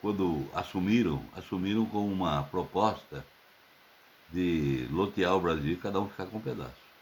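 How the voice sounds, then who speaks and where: A man speaks with a very deep, low pitch. His intonation is lively and his pace moderate. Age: 70s. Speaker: political commentator. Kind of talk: open letter monologue.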